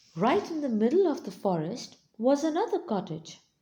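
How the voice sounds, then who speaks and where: The voice carries a soothing tone and is somewhat breathy. It moves at a moderate pace with very wide pitch swings. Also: woman. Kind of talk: read story.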